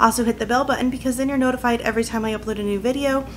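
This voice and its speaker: Very fast speech races by, with noticeable background noise throughout. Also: woman. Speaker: vlogger. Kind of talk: casual vlog chat. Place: home room.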